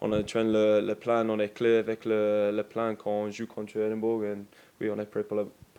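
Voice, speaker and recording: With an English accent, a man speaks at a moderate pace in a fairly low, dark, mellow voice with monotone, flat intonation. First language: English (speaking French). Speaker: professional rugby player. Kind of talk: press conference. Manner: halting, many hesitations and repetitions.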